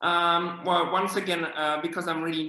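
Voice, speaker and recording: A man talks with a French accent. Noticeable background noise can be heard. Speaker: children's author. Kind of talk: interview. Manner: hesitant, many fillers.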